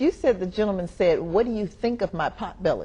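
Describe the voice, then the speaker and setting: A woman's dark, mellow, somewhat breathy voice at a very fast pace with lively intonation. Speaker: TV talk show host, voice-over artist. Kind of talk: conversational TV interview with guests.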